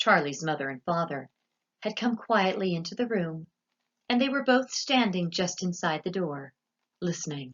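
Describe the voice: Plain reading aloud, lively in intonation, over a quiet background.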